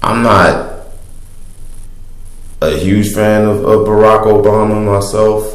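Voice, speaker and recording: Over noticeable background noise and audible room echo, a man with a fairly low pitch speaks very slowly in a flat monotone, leaving long, frequent pauses. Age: 20s. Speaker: vlogger. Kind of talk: casual monologue. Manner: halting.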